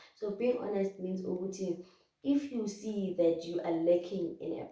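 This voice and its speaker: A dark, mellow tone with a South African accent. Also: woman. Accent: South African, Zulu-speaking. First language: Zulu. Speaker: YouTuber. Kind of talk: casual talk-to-camera advice vlog. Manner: hesitant, many fillers.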